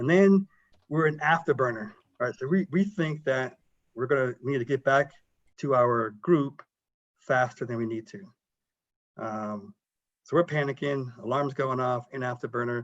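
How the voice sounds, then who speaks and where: A man's medium-pitched voice with an American accent, ordinary pitch variation and long, frequent pauses. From South Carolina. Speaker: military pilot and engineer. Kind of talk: career talk to students. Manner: fast when excited; mumbles.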